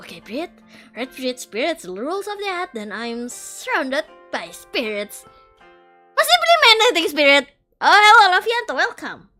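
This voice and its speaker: Putting on a character voice, a woman talks at extremely high pitch and a moderate pace, with very wide pitch swings and big swings in loudness over faint music in the background. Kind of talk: game text read aloud. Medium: virtual streamer. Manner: flustered, wry.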